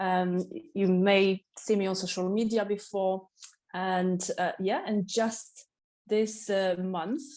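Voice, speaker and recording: A woman speaks with a Polish accent at medium pitch. Her pace is very slow. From Poland, Katowice. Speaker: waxing specialist and salon owner. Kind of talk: podcast interview. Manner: energetic.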